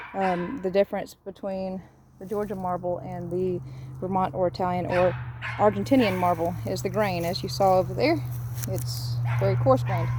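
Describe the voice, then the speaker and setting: Over noticeable background noise, a woman with a fairly low pitch swings very widely from high to low. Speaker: cemetery restoration business owner. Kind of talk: casual video walkthrough tour. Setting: outdoors in a cemetery. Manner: fast.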